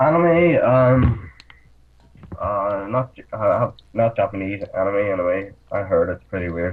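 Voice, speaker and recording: Lively intonation and big swings in loudness in a Northern Irish accent, at a fairly slow pace. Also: man, fairly low pitch for a man. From Northern Ireland. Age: 20s. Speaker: actor. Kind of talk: casual chat. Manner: halting.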